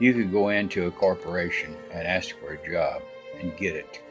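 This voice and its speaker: Background music is playing. Over it, a man speaks at a moderate speed. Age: old. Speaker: military veteran. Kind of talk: casual talk to camera, life story.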